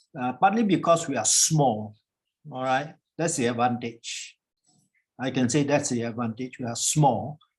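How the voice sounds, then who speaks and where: A man's medium-pitched, somewhat breathy voice at a moderate pace, with ordinary pitch variation and long, frequent pauses. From Singapore. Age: 70s. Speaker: professor. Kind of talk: panel discussion. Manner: conversational, informal.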